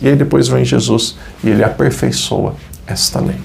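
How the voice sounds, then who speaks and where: Noticeable background noise fills the recording. Over it, a man speaks at a moderate pace. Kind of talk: Bible study teaching.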